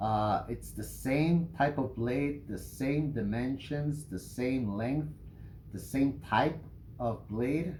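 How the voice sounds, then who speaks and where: A very slow, somewhat breathy male voice of medium pitch, with a slight non-native accent, ordinary pitch variation, and audible room echo. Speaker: knife reviewer, YouTuber. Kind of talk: product review. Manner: hesitant, many fillers.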